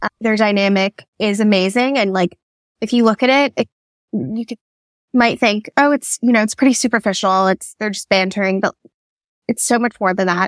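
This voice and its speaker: Recorded with a dry, close sound and no echo, a woman with a normal speaking voice and a fairly high pitch talks at a moderate pace with ordinary pitch variation. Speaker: guest book fan. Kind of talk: casual chat.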